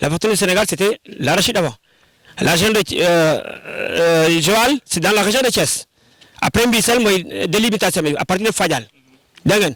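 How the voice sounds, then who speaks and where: A man's high-pitched voice with ordinary pitch variation and long, frequent pauses. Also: moderate pace, very even loudness. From Senegal, Sine region (Djilor). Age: 60s. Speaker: heritage site guide. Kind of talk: guided tour explanation.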